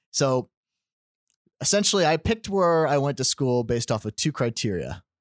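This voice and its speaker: Recorded very cleanly over a silent background with a dry, close sound and no echo, a man speaks at a moderate pace with lively intonation. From upstate New York, later US South (Georgia). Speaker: church intern, former army officer and seminary student. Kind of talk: casual interview. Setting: podcast studio.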